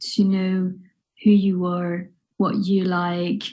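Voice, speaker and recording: A woman speaks at a very slow pace with a medium pitch. Her tone is dark, mellow and somewhat breathy. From northwest France, near Nantes. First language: French. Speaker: wedding and family photographer. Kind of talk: online workshop talk. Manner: hesitant, many fillers.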